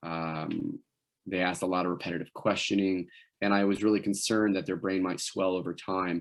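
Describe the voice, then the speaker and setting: A man talks at a fairly quick pace in a very deep, low pitch with monotone, flat intonation. The recording is very clean, with a silent background. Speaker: wilderness medicine instructor. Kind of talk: lecture. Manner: fast.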